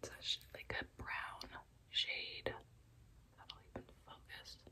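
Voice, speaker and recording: A woman's very slow whispering. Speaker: ASMR vlogger. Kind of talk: ASMR get-ready-with-me, chatty casual talk to camera. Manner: chatty, laid back, rambling. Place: home room. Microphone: phone near.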